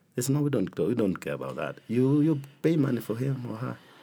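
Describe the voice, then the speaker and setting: Dark and mellow with vocal fry, a man speaks at a fairly quick pace on a very clean recording with a silent background. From Kenya. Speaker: bishop. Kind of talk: interview testimony.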